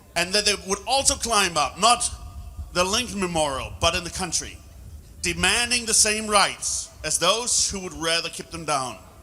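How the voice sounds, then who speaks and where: The voice is raised and projected. It keeps a moderate pace. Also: man, high pitch for a man, ordinary pitch variation. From Germany. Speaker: public speaker. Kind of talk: speech.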